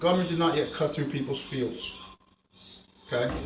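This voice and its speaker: A man with an American accent, fairly high in pitch with ordinary variation, at a fairly quick pace, amid audible room echo. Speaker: video blogger. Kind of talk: casual vlog monologue.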